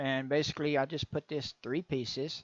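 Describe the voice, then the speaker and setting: A Texan accent comes through at a moderate pace, the sound dry and close with no echo. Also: man. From Texas. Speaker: game engine tutorial maker. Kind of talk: tutorial. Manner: casual, conversational.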